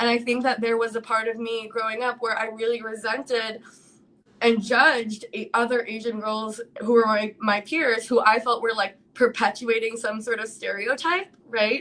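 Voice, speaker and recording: A woman with an American accent speaks at a moderate pace and a fairly high pitch, her intonation fairly even, with noticeable background noise. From New York City. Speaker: live stream host. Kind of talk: casual live chat. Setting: live stream. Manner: loud.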